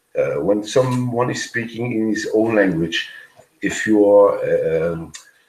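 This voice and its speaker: A man speaks at a fairly slow pace. There is audible echo in the room. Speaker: former hotel worker. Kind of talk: casual chat. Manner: halting.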